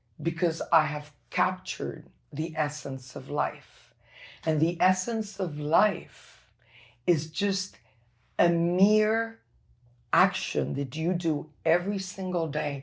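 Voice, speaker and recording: Using vocal fry, a woman with a fairly low pitch talks very slowly, taking long, frequent pauses, with ordinary pitch variation. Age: 60s. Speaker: former corporate executive, brain injury survivor. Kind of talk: interview testimony. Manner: animated.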